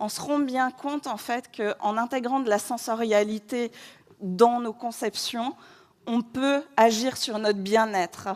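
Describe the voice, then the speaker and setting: Speaking at a very slow pace, a woman holds a fairly even intonation at a fairly high pitch. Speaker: interior designer giving a conference talk. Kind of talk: conference talk. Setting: stage with audience. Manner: chatty.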